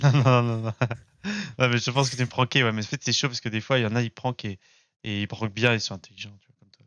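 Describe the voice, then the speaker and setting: A man talks very fast at a medium pitch, his intonation monotone and flat. His loudness swings widely, and he leaves long, frequent pauses. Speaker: online voice chat participant. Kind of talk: casual trolling chat. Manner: hesitant, filler-heavy.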